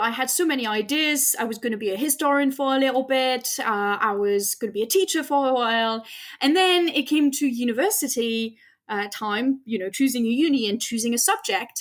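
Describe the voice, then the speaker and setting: This woman has a high pitch and a slight French accent. Her intonation is lively. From France. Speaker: astrophysicist. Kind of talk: interview.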